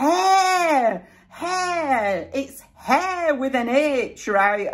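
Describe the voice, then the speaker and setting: Shouting in a put-on character voice, the speaker is loud. The pace is very slow. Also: female-sounding voice, high pitch for a woman. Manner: yelling.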